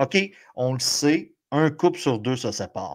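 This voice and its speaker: A man's voice shows ordinary pitch variation in a very clean recording against a silent background. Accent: Quebec. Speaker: sports podcast co-host. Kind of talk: casual podcast chat. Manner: animated.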